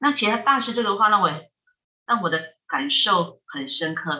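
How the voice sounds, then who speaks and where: Her tone is bright and sharp. The woman's pitch moves over a very wide range. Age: 50s. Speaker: Buddhist monastic, head of a Buddhist research institute. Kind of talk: casual chat with dharma teaching. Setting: remote call.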